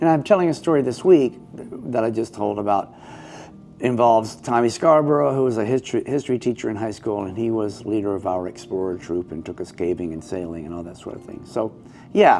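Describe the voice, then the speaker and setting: Speaking at a fairly quick pace, a man with an American accent uses a medium pitch, lively intonation and big swings in loudness. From US South, Georgia. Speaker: storyteller. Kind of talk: casual interview chat.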